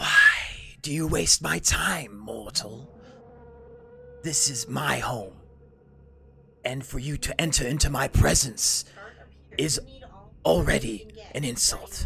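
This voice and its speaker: A man does a put-on character voice, raspy and cackling, at a medium pitch. He goes at a fairly slow pace with long, frequent pauses. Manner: cackling, contemptuous.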